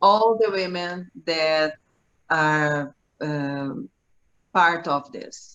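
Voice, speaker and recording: A woman with a Portuguese accent, fairly low-pitched, at a very slow pace with long, frequent pauses. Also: ordinary pitch variation. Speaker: journalist and businesswoman. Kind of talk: online panel introduction. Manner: halting, many restarts.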